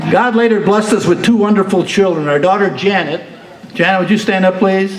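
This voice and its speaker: A man with a high pitch talks at a fairly quick pace, with fairly even intonation and very even loudness, against noticeable background noise and audible room echo. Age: 80s+. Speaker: retiree giving birthday speech. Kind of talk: speech at a party. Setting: banquet hall with audience. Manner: formal, earnest.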